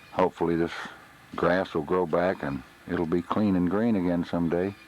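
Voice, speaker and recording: Speaking with a Texas accent in a very deep, low voice, a man keeps his intonation fairly even at a moderate pace against noticeable background noise. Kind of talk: home video narration. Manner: subdued.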